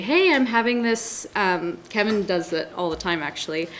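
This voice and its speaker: Someone with an American accent talks at a moderate pace against noticeable background noise. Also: woman. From Seattle, US Pacific Northwest. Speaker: newspaper reporter. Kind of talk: panel discussion.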